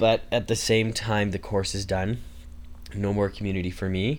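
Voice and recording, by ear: A man talks at a moderate pace with fairly low pitch and little pitch movement.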